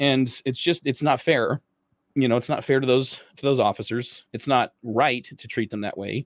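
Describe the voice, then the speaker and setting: A man's plain, everyday voice with an American accent, at a medium pitch and moderate pace, with ordinary pitch variation in a dry, close sound with no echo. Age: 40s. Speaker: former police officer and author. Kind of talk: casual interview. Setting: video call.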